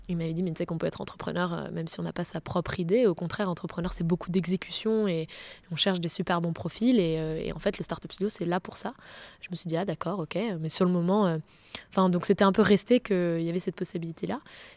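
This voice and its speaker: Very fast and fairly even in intonation, a woman speaks at a fairly low pitch. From France, south and Picardy (Senlis). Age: 30s. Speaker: entrepreneur. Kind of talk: long-form interview.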